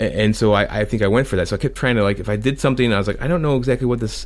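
This man talks at a very fast pace with vocal fry. His pitch sits in the medium range. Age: 40s. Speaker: comic creator and musician. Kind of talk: casual interview chat. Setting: call with host.

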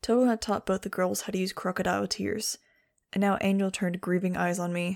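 Reading aloud in a natural voice, a quiet background behind it

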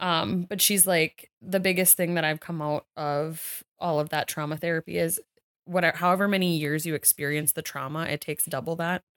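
In a very clean recording with a silent background and a dry, close sound with no echo, a woman talks at a moderate pace in a fairly low pitch with fairly even intonation, an ordinary speaking voice. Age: 30s. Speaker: podcast co-host. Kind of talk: casual chat.

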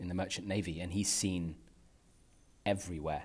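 A man with a London accent speaks at a fairly quick pace in a very deep, low pitch. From North London, England (Pakistani family). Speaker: podcast host. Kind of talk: personal monologue. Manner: halting, many fillers.

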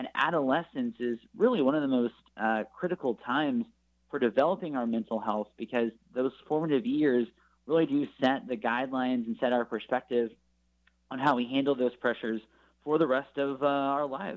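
A man talks at a fairly quick pace with medium pitch and ordinary pitch variation. His is an unremarkable speaking voice. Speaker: nonprofit spokesman. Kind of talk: radio interview.

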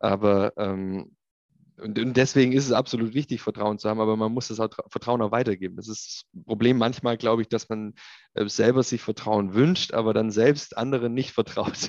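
With an unremarkable speaking voice, a man talks at a moderate pace and medium pitch with fairly even intonation, in a dry, close sound with no echo and a quiet background. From Swabia, Ulm (southern Germany). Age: 30s. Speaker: industrial tech executive. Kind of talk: interview.

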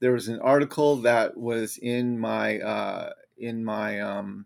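Over a silent background in a very clean recording, a man with an ordinary speaking voice talks at a medium pitch with ordinary pitch variation. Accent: American. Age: 50s. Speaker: political commentator and author. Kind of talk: solo livestream commentary. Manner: casual, conversational.

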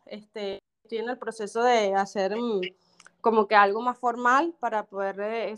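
A woman speaks in a plain, everyday voice. Her pitch is fairly high and her intonation fairly even. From Venezuela. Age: 40s. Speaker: dancer and actress. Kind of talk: interview.

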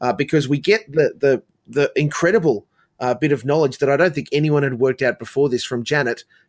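A man speaks at a fairly quick pace with a fairly high pitch. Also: ordinary pitch variation, dry, close sound with no echo. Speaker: podcast host. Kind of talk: casual chat.

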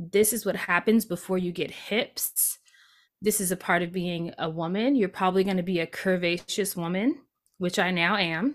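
On a very clean recording with a silent background, a woman with an unremarkable speaking voice talks at a moderate pace and medium pitch, her pitch varying in an ordinary way. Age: 30s. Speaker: multi-passionate creativity coach and podcaster. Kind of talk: interview conversation.

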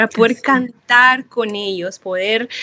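In an ordinary speaking voice, a woman at a fairly high pitch talks at a fairly slow pace with ordinary pitch variation and a dry, close sound with no echo. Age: 30s. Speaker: psychologist and biblical counselor. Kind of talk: interview advice.

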